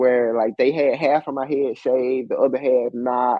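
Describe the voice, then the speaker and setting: At a moderate pace, a man talks at a medium pitch with an American accent. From US South, Alabama. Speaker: professor and entrepreneur. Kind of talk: interview. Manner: animated.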